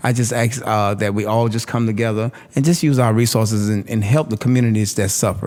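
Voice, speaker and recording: A man talks at a very fast pace in a medium-pitched voice. Noticeable background noise is present. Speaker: community activist. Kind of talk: panel discussion. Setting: live panel in a room. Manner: loud; animated.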